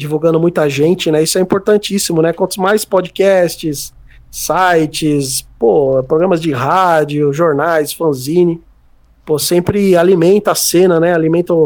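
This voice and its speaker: A plain, everyday voice keeps to fairly even intonation and a fairly slow pace. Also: man. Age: 30s. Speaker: music journalist and writer. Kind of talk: casual interview chat.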